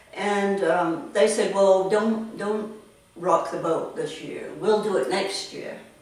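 At a very slow pace, a woman speaks with ordinary pitch variation and audible room echo. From Tanzania. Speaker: artist. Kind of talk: interview answer. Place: home room. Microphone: camera far.

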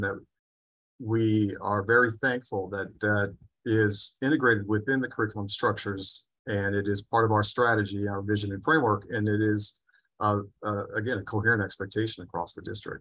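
Over a quiet background, a man speaks in a fairly low pitch with flat, monotone intonation. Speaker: school district administrator; panelist. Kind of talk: panel answer at a conference. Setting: video call. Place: office. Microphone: webcam.

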